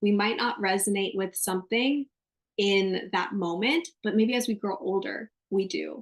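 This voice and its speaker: A woman speaks at a fairly slow pace in an animated tone, her medium pitch moving with ordinary variation. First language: Spanish. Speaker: astrologer. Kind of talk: casual interview chat.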